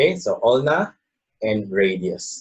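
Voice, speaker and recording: A man speaks with a Filipino accent. His voice is somewhat breathy. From Philippines. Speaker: anatomy instructor. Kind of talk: lecture. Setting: video lesson on camera. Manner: halting, many fillers like okay and uh.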